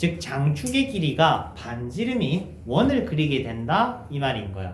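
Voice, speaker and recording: The voice has vocal fry and very wide pitch swings, heard with audible room echo. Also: man. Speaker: math teacher. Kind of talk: lecture. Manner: conversational, checking questions.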